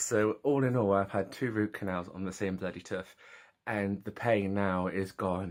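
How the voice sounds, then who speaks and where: In an English accent, a man with a fairly low pitch talks at a fairly slow pace with ordinary pitch variation on a very clean recording with a silent background. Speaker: vlogger. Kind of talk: casual vlog. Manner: animated.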